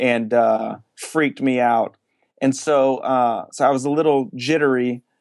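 A man with an American accent uses an unremarkable speaking voice and fairly even intonation. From New Jersey. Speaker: church planter, pastor. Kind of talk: interview.

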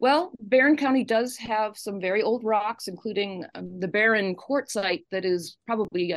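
This voice has vocal fry and moves at a moderate pace. Its pitch varies in an ordinary way. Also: woman. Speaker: geology professor. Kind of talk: radio interview. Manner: thoughtful, reflective.

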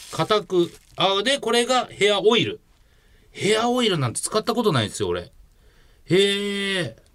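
A man with a high pitch talks at a moderate pace with ordinary pitch variation and long, frequent pauses. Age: 40s. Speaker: comedian. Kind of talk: casual chat.

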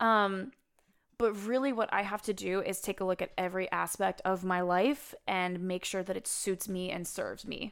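A woman with a normal speaking voice and an American accent, medium pitch, fairly even intonation and moderate pace, in a very clean recording with a silent background. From US Midwest. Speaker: therapist. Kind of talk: casual chat.

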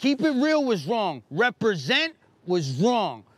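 Speaking very slowly in a New York accent, a man uses a high pitch with very wide pitch swings. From New York, Brooklyn (Bushwick). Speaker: guest. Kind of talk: casual chat. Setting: outdoors.

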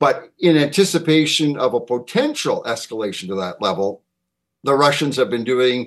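With lively intonation and a medium pitch, a man talks at a moderate pace in an unremarkable speaking voice. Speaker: defense policy analyst. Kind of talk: panel interview answering questions.

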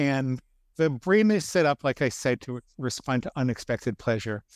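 In a very clean recording with a silent background and a dry, close sound with no echo, a man speaks in an ordinary speaking voice at medium pitch, with ordinary pitch variation and a moderate pace. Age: 50s. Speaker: psychologist, food addiction expert. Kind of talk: interview.

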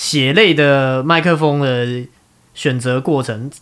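Very slow speech comes from a man with a fairly high pitch. His pitch variation is ordinary. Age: 30s. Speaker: podcast host. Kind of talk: casual chat.

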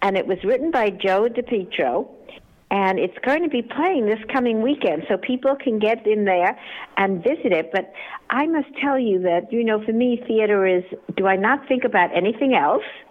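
A woman with an ordinary speaking voice talks at a moderate pace with a fairly high pitch, lively intonation and very even loudness. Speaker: newspaper publisher. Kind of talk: radio interview.

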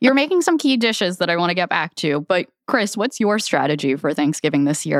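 Delivered with very wide pitch swings at a very fast pace, the speech has an American accent on a very clean recording with a silent background. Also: woman, very even loudness, dry, close sound with no echo. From US, Filipino family. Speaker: podcast producer. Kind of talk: casual chat.

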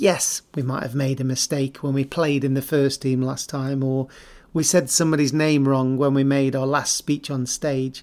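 In an English accent, a man speaks at a moderate pace with a fairly high pitch and a monotone, flat intonation. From England. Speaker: podcast host, former cricketer. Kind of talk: scripted narration.

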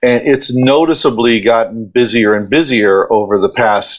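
With a normal speaking voice and an American accent, a man talks at medium pitch with lively intonation. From Ohio, US Midwest. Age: middle-aged. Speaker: event company partner. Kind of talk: casual interview.

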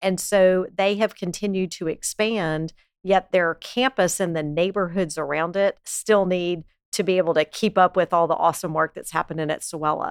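Speaking at a moderate pace with an American accent, a woman has an unremarkable speaking voice at medium pitch with fairly even intonation, recorded dry and close with no echo. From US South, Lake Charles, Louisiana. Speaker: community foundation president. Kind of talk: interview.

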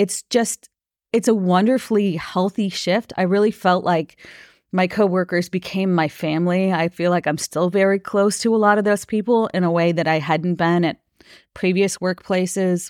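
Recorded very cleanly against a silent background, a woman with an American accent uses a normal speaking voice at medium pitch and moderate pace, with very even loudness, fairly even intonation and a dry, close sound with no echo. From US Midwest, Minnesota. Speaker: union leader and labor advocate. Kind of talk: interview conversation.

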